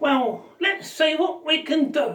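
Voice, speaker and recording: Here a woman uses a put-on character voice. Her pitch is high. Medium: solo performance.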